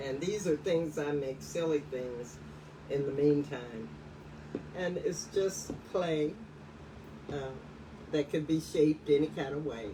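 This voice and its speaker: Noticeable background noise sits behind a woman with a very deep, low pitch. She speaks at a fairly slow pace with long, frequent pauses and ordinary pitch variation. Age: 60s. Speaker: museum curator and folk artist. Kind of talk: live-streamed studio visit interview. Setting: live video stream.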